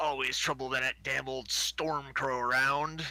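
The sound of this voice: A put-on character voice, gruff and pitched low-to-middle, delivered at a moderate pace with a monotone, flat intonation.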